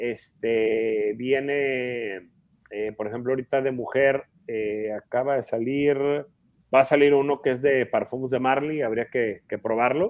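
A man speaks at a medium pitch in an ordinary speaking voice. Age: 40s. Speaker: perfume collector and expert. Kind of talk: casual interview.

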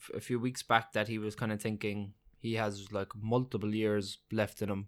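In an Irish accent, a man of medium pitch speaks at a moderate pace with fairly even intonation. The recording is very clean, with a silent background. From Ireland. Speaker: podcast co-host, MMA fan. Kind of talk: casual chat.

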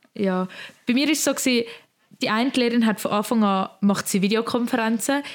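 A woman with a Swiss German accent speaks at a fairly quick pace and a fairly high pitch, with ordinary pitch variation. Her loudness stays very even, broken by long, frequent pauses. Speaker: podcast co-host, apprentice. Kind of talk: casual chat. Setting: recording from home bedroom.

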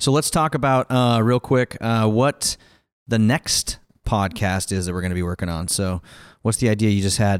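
Heard on a very clean recording with a silent background and a dry, close sound with no echo, a man with an unremarkable speaking voice talks at a moderate pace and fairly low pitch with ordinary pitch variation. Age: 30s. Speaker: podcast host and taproom owner. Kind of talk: casual chat. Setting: taproom.

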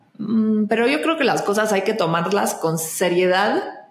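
A woman speaks at a fairly slow pace with fairly even intonation. Noticeable background noise and audible room echo fill the recording. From Argentina, Buenos Aires. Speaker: actress and singer. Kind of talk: casual interview chat.

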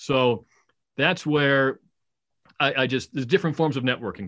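A man with an American accent and a plain, everyday voice talks at a fairly quick pace and fairly high pitch against a quiet background. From New England, Massachusetts. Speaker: minor league baseball broadcaster. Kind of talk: casual interview.

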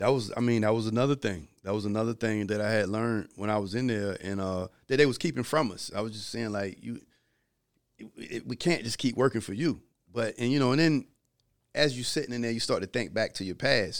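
A man with an American accent and a plain, everyday voice, medium pitch, ordinary pitch variation, fairly quick pace, very clean recording with a silent background. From Virginia Beach, US South. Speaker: film producer and author, former drug dealer. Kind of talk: casual interview storytelling.

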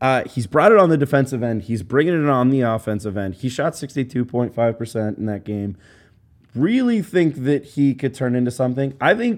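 A man with an unremarkable speaking voice talks at a moderate pace in a medium pitch, using lively intonation. The recording is very clean, with a silent background. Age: 20s. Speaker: basketball podcast host. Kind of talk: casual chat. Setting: studio.

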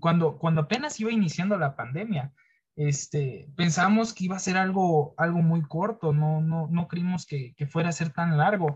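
This man's voice is high in pitch. He talks at a moderate pace with ordinary pitch variation. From Mexico, outside Mexico City. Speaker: university student. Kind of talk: interview. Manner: halting.

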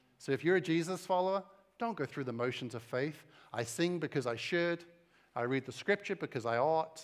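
A man with an American accent, fairly high in pitch, with lively intonation. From eastern England. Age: 40s. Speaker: pastor. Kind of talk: sermon. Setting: church with audience.

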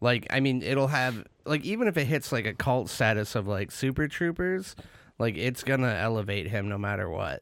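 Speaking with an American accent, a man uses an ordinary speaking voice at medium pitch, moderate pace and lively intonation. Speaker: podcast co-host. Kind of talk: casual chat. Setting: studio. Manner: laughs often, joking.

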